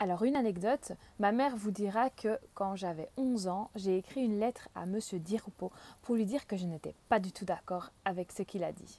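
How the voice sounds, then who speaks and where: Her dark, mellow voice is at a medium pitch with ordinary pitch variation, and this woman keeps a moderate pace. The sound is dry and close, with no echo. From Belgium, Limburg (Genk). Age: 30s. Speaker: local election candidate. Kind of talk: campaign self-presentation.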